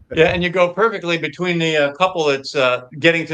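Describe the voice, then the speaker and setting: Very fast speech from a man at a fairly high pitch, ordinary in its variation, with noticeable background noise. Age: 60s. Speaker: retired police officer, diet convert. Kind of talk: casual chat. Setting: livestream in a theater lobby. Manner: hushed, trying not to be loud.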